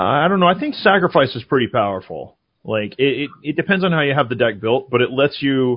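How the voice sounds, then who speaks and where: This is a normal speaking voice from a man, pitched fairly high. His intonation is lively and he hardly pauses. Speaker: card game podcaster. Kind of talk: casual chat.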